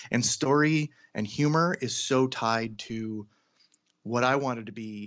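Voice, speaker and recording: With an American accent, a man uses a normal speaking voice at medium pitch and ordinary pitch variation. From US Pacific Northwest (Seattle, Washington). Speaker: cartoonist and character designer. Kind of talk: casual interview.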